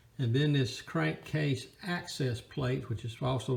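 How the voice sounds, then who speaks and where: Somewhat breathy, a man at medium pitch speaks with lively intonation. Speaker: hobbyist tractor restorer. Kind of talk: casual how-to narration. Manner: stuttering, halting.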